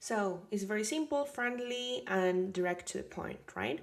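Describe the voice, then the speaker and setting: Lively intonation marks a woman's speech. She talks with a Spanish accent. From Colombia, Caribbean coast. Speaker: language teacher, linguist. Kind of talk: tutorial. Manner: casual, many fillers.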